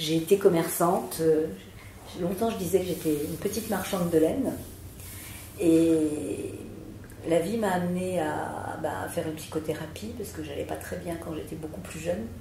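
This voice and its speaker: Amid noticeable background noise and audible room echo, a woman with a fairly low pitch speaks at a moderate pace, with ordinary pitch variation, big swings in loudness, and long, frequent pauses. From France, Alsace (Strasbourg). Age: 60s. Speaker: psychotherapist. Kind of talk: interview.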